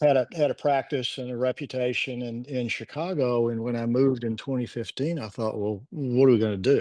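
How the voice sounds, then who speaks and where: A man with an American accent talks at a fairly quick pace with hardly any pauses, his medium pitch showing ordinary variation and his tone dark and mellow. The sound is dry and close with no echo, over a quiet background. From Texas, Houston. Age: 70s. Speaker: marriage and family therapist. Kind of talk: podcast interview. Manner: halting, many repetitions and false starts.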